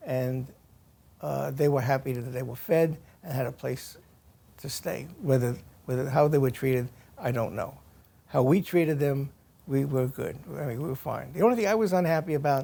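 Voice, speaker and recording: With an American accent, a man speaks at a fairly high pitch in a dark, mellow tone. His pitch varies in an ordinary way, and he leaves long, frequent pauses. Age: 80s+. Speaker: war veteran. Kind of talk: interview answer.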